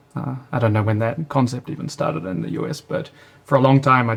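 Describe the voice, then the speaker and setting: Speaking at a moderate pace, a man with a New Zealand accent has a medium pitch. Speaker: startup founder and CEO. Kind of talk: interview.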